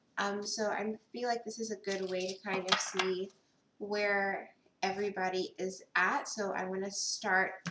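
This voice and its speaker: The speech runs at a fairly slow pace in a flat monotone, with noticeable background noise. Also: woman, medium pitch for a woman. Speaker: tarot reader. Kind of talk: tarot reading. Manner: casual, many ums.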